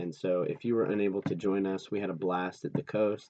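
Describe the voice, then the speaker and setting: A quiet man's voice, very deep and low, with fairly even intonation at a moderate pace. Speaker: youth pastor. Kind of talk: casual recap talk. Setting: recording at night at home. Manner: hesitant, many fillers.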